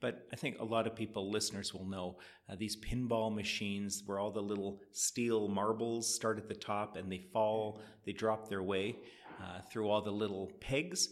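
In a Canadian accent, a man speaks at a moderate pace with a fairly low pitch and a normal speaking voice. The recording is very clean, with a silent background. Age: 50s. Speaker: economist. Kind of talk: interview.

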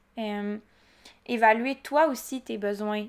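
A woman with a Quebec accent speaks at a very slow pace with fairly even intonation. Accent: Québécois French. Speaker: entrepreneur podcaster. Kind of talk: casual solo monologue. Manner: chatty with frequent fillers.

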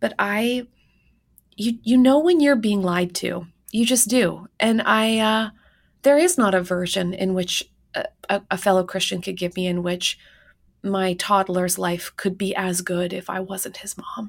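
In a normal speaking voice, a woman talks at a fairly slow pace and medium pitch with ordinary pitch variation, on a very clean recording against a silent background. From Canada. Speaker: professor and author. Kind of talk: interview.

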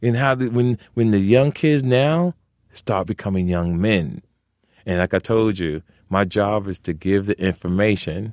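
The voice moves at a fairly slow pace with lively intonation. The recording is very clean with a silent background, and the sound is dry and close with no echo. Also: man, fairly low pitch for a man. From Jersey City, New Jersey. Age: 50s. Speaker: comedian. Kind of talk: casual chat. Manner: animated.

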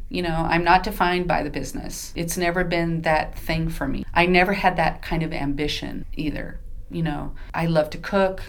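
Speaking at a moderate pace with an American accent, a woman keeps her intonation fairly even and hardly pauses, with audible room echo and noticeable background noise around her. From Southern California. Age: 50s. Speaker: Broadway ensemble performer. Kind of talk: casual interview.

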